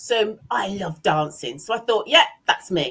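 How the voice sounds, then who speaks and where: A woman with a bright, sharp tone and vocal fry speaks fairly slowly at a medium pitch. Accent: English. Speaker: business owner and leadership trainer. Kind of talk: interview. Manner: animated.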